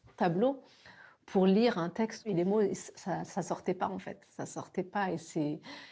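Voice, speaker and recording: Pitch rises and falls in an ordinary way. A dark, mellow tone carries the speech. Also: woman. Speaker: person who stutters, interviewee. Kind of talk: documentary interview testimony. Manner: stutters.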